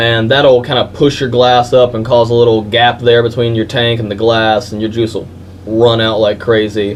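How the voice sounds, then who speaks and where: Monotone, flat speech from a man, medium in pitch and moderate in pace. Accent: Southern US. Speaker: vape shop employee. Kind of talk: product tutorial. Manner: stuttering; casual, filler-heavy.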